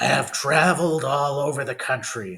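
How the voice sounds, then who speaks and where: A man puts on a raspy character voice, fairly high in pitch, delivered at a moderate pace with ordinary pitch variation. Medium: read story. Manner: cold, menacing.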